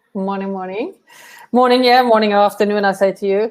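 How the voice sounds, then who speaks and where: This is a woman speaking. She talks with a Norwegian accent. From Norway. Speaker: travel company director. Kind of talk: live webinar interview.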